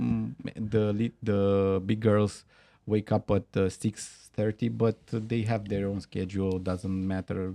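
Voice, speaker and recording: Against a quiet background with a dry, close sound and no echo, a man with a Romanian accent speaks very slowly in a fairly low pitch, with a dark, mellow tone and fairly even intonation. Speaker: company founder. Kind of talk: interview. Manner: halting.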